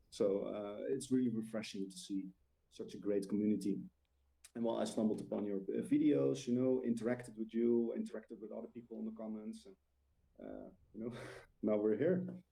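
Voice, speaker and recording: Speaking at a fairly quick pace with a Dutch accent, a man with a dark, mellow tone uses ordinary pitch variation, big swings in loudness and long, frequent pauses. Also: fairly low pitch for a man. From Netherlands. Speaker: discord admin, tabletop gamer. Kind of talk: casual chat. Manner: halting, many filler uhs.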